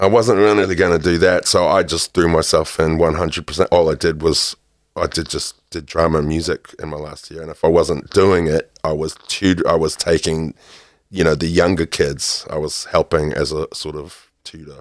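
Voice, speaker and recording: A man's very deep, low voice at a moderate pace, fairly even in intonation but with big swings in loudness, dry and close with no echo on a very clean recording with a silent background. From California, raised in New Zealand from age eight. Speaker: musician and radio/TV presenter. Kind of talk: casual interview.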